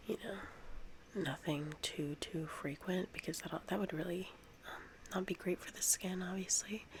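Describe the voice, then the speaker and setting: Whispering, a woman goes at a fairly slow pace. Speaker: ASMR creator. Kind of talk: ASMR soft-spoken tutorial. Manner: soft-spoken; hesitant with fillers.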